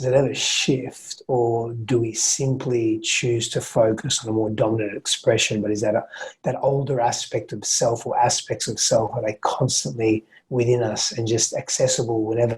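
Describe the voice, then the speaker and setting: Somewhat breathy man, medium pitch, fairly even intonation and moderate pace. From Australia. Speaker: men's coach and podcast guest. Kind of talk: podcast interview. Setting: remote call from Perth.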